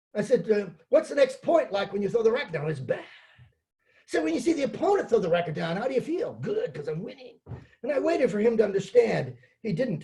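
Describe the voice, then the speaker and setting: The voice has a dark, mellow tone and races along at a very fast pace. Its pitch swings very widely. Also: man, high pitch for a man. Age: 70s. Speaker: sport psychologist. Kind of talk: presentation. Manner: conversational, anecdotal.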